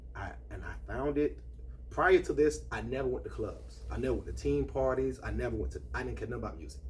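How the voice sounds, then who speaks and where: A man with an American accent at a very fast pace, with audible room echo. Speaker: party host. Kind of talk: testimony.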